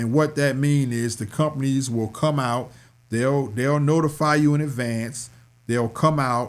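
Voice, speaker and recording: A man speaks at a fairly slow pace in a plain, everyday voice. His pitch is medium and his intonation fairly even. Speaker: stock market educator and DJ. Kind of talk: tutorial. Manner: casual.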